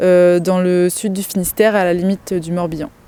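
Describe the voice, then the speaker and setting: Fairly slow speech from a woman, with noticeable noise in the background. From Loir-et-Cher, Loire valley, France. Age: 30s. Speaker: dairy farmer. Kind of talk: interview testimony. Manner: hesitant, frequent fillers.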